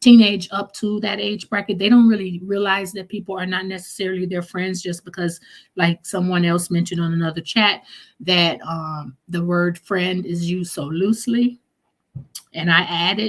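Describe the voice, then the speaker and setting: Her pitch fairly low, a woman speaks at a moderate pace in a somewhat breathy voice with fairly even intonation. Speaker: live stream host. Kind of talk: live chat stream, reading viewer comments. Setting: live stream.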